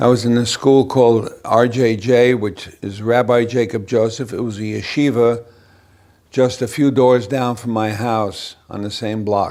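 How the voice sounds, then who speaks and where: A man speaks at medium pitch with a New York accent. His delivery is fairly slow, monotone and flat. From New York City. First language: Yiddish. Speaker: interviewee recounting childhood. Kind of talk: oral history interview. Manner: halting.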